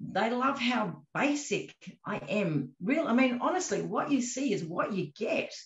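Fairly high in pitch, a woman speaks with an Australian accent. The background is quiet, but room echo is audible. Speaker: magician and escape artist; interviewee. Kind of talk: interview. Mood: warm, modest, chatty. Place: home room. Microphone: video call.

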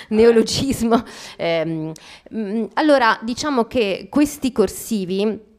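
A woman talks very slowly. Behind her, the background is quiet. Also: fairly high pitch for a woman, lively intonation. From Calabria, southern Italy. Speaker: novelist; guest. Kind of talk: author talk. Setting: library event with audience. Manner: hesitant, repeats words. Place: hall. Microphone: handheld.

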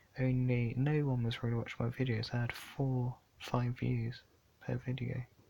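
A man's somewhat breathy voice sits at a medium pitch and moves at a moderate pace. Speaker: YouTube vlogger. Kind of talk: casual vlog monologue. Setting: in bed at night.

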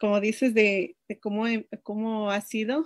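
Very slow speech from a woman with a fairly high pitch, against a quiet background. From Mexico, Chicontepec, Veracruz; Veracruz. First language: Nahuatl (speaking Spanish). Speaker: language teacher. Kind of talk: interview. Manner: halting. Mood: friendly, smiling. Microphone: video call.

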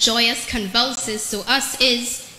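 Light background noise and audible room echo surround a woman speaking at a fairly high pitch in a monotone, flat intonation. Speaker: spoken word poet. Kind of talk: spoken word poetry performance. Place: church. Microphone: handheld.

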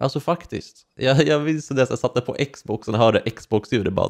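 Spoken at a moderate pace with ordinary pitch variation, the voice sits over a quiet background. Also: man. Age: 20s. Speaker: YouTuber. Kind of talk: personal testimony vlog. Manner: halting. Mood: personal, reflective storytelling. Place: home room. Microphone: studio mic.

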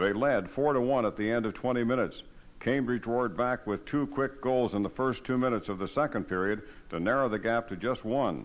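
A man with an unremarkable speaking voice talks at a fairly quick pace and a medium pitch, with ordinary pitch variation and very even loudness. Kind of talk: hall-of-fame documentary narration, scripted. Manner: formal, even-paced; measured, authoritative recounting.

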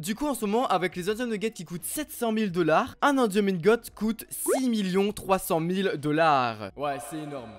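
This man's voice is high for a man and swings very widely in pitch. He speaks at a fairly slow pace. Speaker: gaming youtuber. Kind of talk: gameplay commentary. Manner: animated.

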